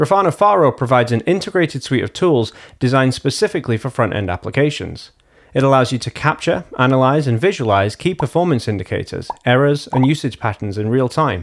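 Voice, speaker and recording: A man rattles along at a very fast pace, his intonation lively and his surroundings quiet. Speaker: presenter. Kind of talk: tutorial. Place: home room. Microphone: studio mic.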